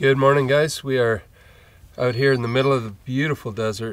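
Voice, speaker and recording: A man's voice, dry and free of echo. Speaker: travel vlogger. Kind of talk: casual vlog chat. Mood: relaxed and content. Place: open country.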